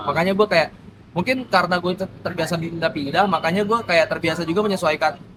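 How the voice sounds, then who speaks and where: High-pitched and very fast, a man's speech shows ordinary pitch variation. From Sumatra and Papua, Indonesia (Palembang, Timika, Lampung). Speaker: MC and entertainer. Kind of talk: casual podcast interview. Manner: animated, slangy.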